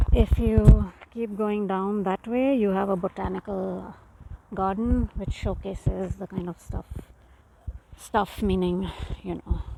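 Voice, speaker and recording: Mumbling at a fairly slow pace with long, frequent pauses, a woman speaks with big swings in loudness over noticeable background noise. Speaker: vlogger. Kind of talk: casual walking vlog narration. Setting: outdoors.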